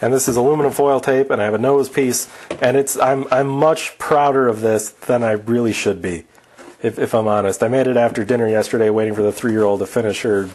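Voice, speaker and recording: Speaking at a fairly quick pace, a man keeps very even loudness and fairly even intonation. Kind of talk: casual tutorial chat. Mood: joking, playful. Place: garage.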